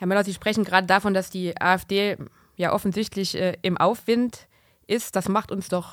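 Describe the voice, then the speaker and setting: In a plain, everyday voice, a woman talks at a moderate pace with medium pitch and fairly even intonation, on a very clean recording with a silent background. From Thuringia, Germany. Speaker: podcast co-host. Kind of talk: political podcast chat. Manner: formal.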